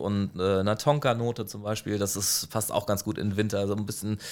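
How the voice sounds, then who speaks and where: A man's fairly low-pitched voice. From Heidelberg, Germany. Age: 30s. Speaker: ice cream shop owner. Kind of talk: interview. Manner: halting, many fillers.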